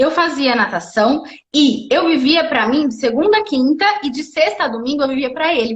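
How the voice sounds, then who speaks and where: A woman talks at a moderate pace with lively intonation. Her tone is animated. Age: 30s. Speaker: wheelchair triathlete and speaker. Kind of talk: casual live interview. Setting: live video stream. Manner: animated storytelling.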